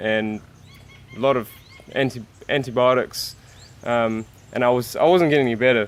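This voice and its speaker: A man speaks at a fairly slow pace and a medium pitch. His intonation is fairly even. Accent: New Zealand. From New Zealand. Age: 20s. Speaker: vegan YouTuber. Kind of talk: interview. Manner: halting.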